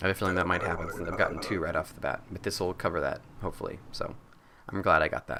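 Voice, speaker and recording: A man races along at a very fast pace against noticeable background noise. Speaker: gaming commentator. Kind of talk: let's play commentary. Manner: casual, hesitant with fillers.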